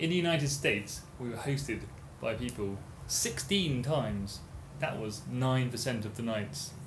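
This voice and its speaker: A man talks very slowly at a medium pitch with lively intonation. Audible room echo surrounds his voice. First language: English (speaking Spanish). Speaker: cycle-touring podcast host. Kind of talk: casual chat.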